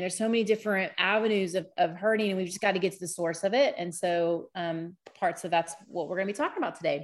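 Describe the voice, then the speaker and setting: On a very clean recording with a silent background, a woman with an American accent has a plain, everyday voice, a medium pitch, fairly even intonation and a fairly quick pace. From US Texas. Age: 40s. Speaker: podcast host and physical therapist. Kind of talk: casual educational talk, event recording.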